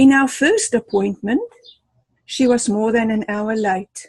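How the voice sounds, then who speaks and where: Somewhat breathy and fairly high, a woman's voice comes at a fairly slow pace in an animated tone with ordinary pitch variation. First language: not English. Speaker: club member giving a speech. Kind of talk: prepared speech. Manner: animated, storytelling.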